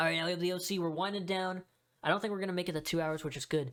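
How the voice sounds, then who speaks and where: Very clean audio from a woman, silence all around her. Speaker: wrestling commentary YouTuber. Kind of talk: casual monologue ranking a tier list. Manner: casual, hesitant with fillers.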